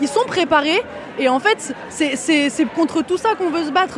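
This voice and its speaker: Over crowd noise in the background, a woman talks at a fairly quick pace. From Paris suburbs (banlieue), France. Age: 20s. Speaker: student protester. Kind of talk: street interview. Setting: outdoors at a street protest march.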